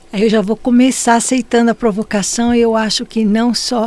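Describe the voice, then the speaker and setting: A woman's fairly high voice against noticeable background noise. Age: 70s. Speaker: podcast guest. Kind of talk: conversational interview.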